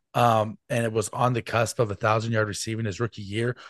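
Speaking at a fairly quick pace in an American accent, a man with medium pitch is heard in a dry, close sound with no echo and a quiet background. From US Midwest, Kansas City. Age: 40s. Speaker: football fan guest. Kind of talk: casual chat. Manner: animated.

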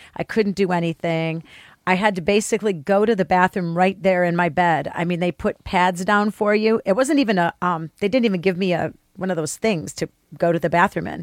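A woman with an ordinary speaking voice talks at a fairly quick pace in a medium pitch, with ordinary pitch variation. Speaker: podcast producer and co-host. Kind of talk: casual chat.

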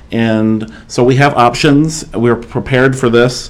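A man speaks at a medium pitch in an ordinary speaking voice. His intonation is fairly even. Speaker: township trustee. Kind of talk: formal public meeting.

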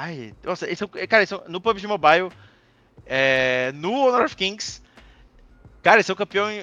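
Against a quiet background, a man speaks with a high pitch and a bright, sharp tone. His intonation is lively. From Santa Catarina, southern Brazil. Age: 30s. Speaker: esports caster. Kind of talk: casual interview chat. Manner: animated.

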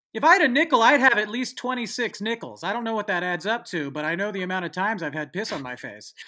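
In a raised, projected voice, a man speaks very fast with hardly any pauses, his high pitch making very wide swings and his tone bright and sharp. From San Francisco Bay Area. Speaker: podcast host and songwriter. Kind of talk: casual chat.

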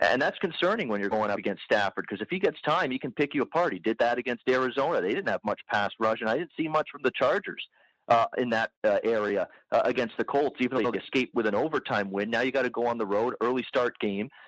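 Speaking very fast at a medium pitch with ordinary pitch variation, a man is heard in a dry, close recording with no echo that is very clean, with a silent background. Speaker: sports bettor. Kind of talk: casual sports betting chat.

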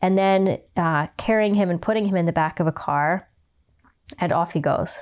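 Her pitch fairly low, a woman talks at a moderate pace with fairly even intonation and very even loudness in a plain, everyday voice. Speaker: horse trainer and podcast host. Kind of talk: casual interview conversation.

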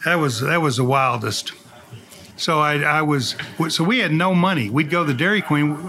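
A man with an American accent speaks at a moderate pace, fairly high in pitch with ordinary pitch variation. His loudness stays very even despite noticeable background noise. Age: 70s. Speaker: distillery CEO. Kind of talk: casual interview.

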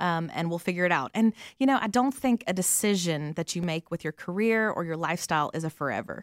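This woman talks very fast with a Southern US accent, hardly pausing at all, her fairly low voice full of lively intonation. The sound is dry and close with no echo, on a very clean recording over a silent background. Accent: Southern American. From US South, Atlanta. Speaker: missionary. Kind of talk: interview.

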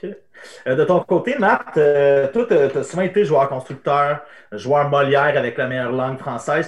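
A man with a fairly high pitch talks at a moderate pace with lively intonation. His voice is somewhat breathy. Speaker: podcast host. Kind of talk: casual chat. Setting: livestream on Twitch.

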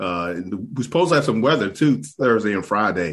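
With a quiet background, a man speaks in a normal speaking voice at a fairly low pitch with lively intonation. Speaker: golf podcast co-host. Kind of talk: casual chat. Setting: video call.

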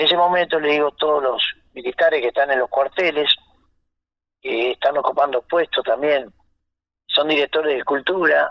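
Here a man speaks at a fairly high pitch and a moderate pace. His pitch variation is ordinary. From Argentina, Santa Fe province. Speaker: folk singer. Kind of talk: radio interview.

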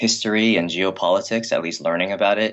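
A man speaks with a Californian accent. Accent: Californian American English. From Los Angeles area, US. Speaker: shoe company founder. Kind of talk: interview conversation. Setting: internet call.

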